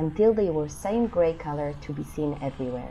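Speaking at a moderate pace, a woman uses a very deep, low pitch with vocal fry, her tone calm, gentle, dark and mellow, and her intonation lively. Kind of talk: audiobook narration, read-aloud storybook. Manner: calm, even storyteller pacing, gentle and expressive.

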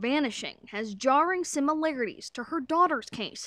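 A normal speaking voice with lively intonation at a moderate pace. The background is quiet. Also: woman. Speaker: TV news reporter and anchor. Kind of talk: on-location news package voiceover.

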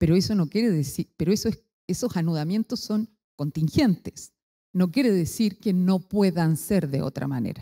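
A dark, mellow tone at a moderate pace against a quiet background. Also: woman, fairly low pitch for a woman. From Chile. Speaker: philosopher and author; speaker. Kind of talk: academic lecture. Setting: stage with audience. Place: hall. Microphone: handheld.

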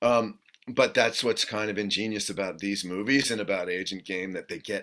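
Pitch varies in an ordinary way as a man speaks at a moderate pace. Behind him, the background stays quiet. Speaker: actor interviewee. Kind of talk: interview answer. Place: home room.

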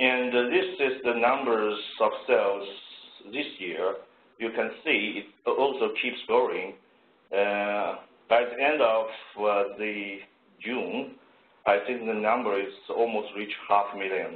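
A man speaks at a very slow pace with long, frequent pauses, and the room echo is audible. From China. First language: Chinese. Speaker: engineer; presenter. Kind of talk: presentation. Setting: video call. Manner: halting. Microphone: video call.

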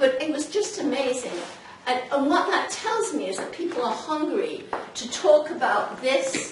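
Noticeable background noise and audible room echo around a woman's high voice. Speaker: presenter, pastoral counselor. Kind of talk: informal talk to audience. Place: meeting room. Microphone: camera far.

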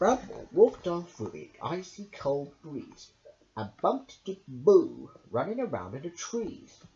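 What you hear is a natural reading voice.

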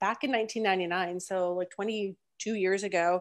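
Against a quiet background, a woman speaks with fairly even intonation. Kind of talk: webinar presentation. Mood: warm, encouraging. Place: home room. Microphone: earbuds.

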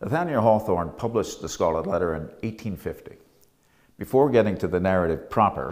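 Against a quiet background, a man talks at a moderate pace. His pitch is fairly low. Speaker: lecturer. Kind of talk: scripted academic lecture narration, with a Hawthorne passage read aloud. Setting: on location in the Salem Custom House. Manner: measured, formal, even-paced. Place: home room. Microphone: lapel.

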